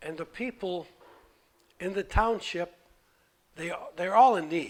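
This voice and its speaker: A man speaks with a high voice. His pitch varies in an ordinary way. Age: 80s+. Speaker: volunteer barber and fundraiser. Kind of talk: testimony. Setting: workshop. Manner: halting.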